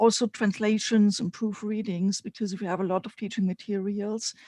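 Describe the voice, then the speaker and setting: The speaker has a German accent. The recording is very clean, with a silent background. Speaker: spiritual mentor and teacher. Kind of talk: live stream panel chat. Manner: halting, many fillers.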